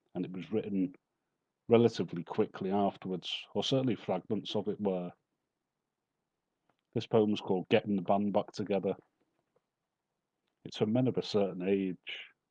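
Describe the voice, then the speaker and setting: A man with a Liverpool accent speaks at a moderate pace in a fairly low pitch, his tone dark and mellow and his intonation fairly even, with long, frequent pauses in a dry, close sound with no echo. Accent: Liverpool (Scouse). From Merseyside, England. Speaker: poet. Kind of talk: introducing poems at a live reading.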